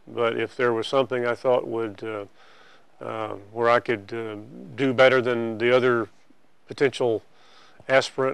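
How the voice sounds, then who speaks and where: A man with an American accent, monotone and flat in intonation, with long, frequent pauses over a quiet background. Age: 60s. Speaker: state official. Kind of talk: interview. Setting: office.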